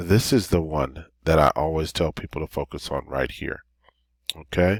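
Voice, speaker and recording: A man speaks in a very deep, low voice with fairly even intonation. The sound is dry and close with no echo. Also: very clean recording, silent background. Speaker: credit repair advisor. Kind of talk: tutorial. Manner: fast.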